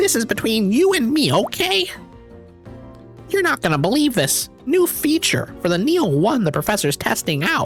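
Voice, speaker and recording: Over clear music in the background, a strained, put-on character voice goes along at a moderate pace. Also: man. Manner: secretive, hushed.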